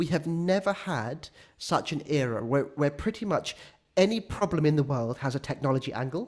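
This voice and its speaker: A somewhat breathy man talks at a moderate pace with a fairly high pitch and lively intonation. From born in Sri Lanka, raised in England. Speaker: tech company founder. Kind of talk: interview.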